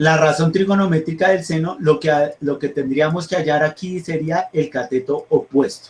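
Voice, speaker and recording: This man's voice sits at a fairly high pitch. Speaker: math teacher. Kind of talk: online class lecture. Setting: video call. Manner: fast; halting, repeats words.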